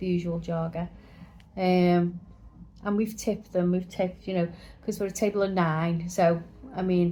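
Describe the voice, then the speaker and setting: In an English accent, a woman with a fairly low pitch and a dark, mellow tone speaks at a moderate pace in a monotone, flat intonation, leaving long, frequent pauses. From England. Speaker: travel vlogger. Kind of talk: casual chat, hotel review.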